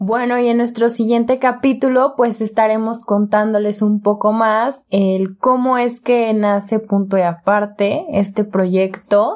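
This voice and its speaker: Speaking fairly slowly with a Mexican accent, a woman keeps a fairly high pitch, fairly even intonation, very even loudness and hardly any pauses. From Mexico, Jalisco (Guadalajara area). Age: 20s. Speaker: podcast co-host. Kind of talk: casual chat.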